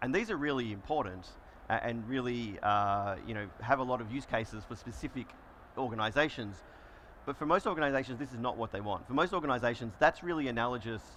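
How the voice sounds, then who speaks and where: A man with an Australian accent speaks at a fairly quick pace, his medium pitch showing ordinary variation. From Australia, Melbourne. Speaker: solutions engineer presenting a conference session. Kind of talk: conference presentation. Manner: conversational, frequent fillers.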